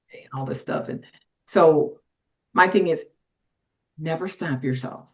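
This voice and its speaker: Somewhat breathy and fairly slow, the voice shows ordinary pitch variation and big swings in loudness. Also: woman. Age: 60s. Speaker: workwear designer and former construction worker. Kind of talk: interview conversation. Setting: podcast interview.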